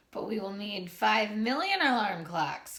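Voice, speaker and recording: Delivered at a moderate speed, the voice is a put-on character voice. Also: female-sounding voice, medium pitch for a woman. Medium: read story.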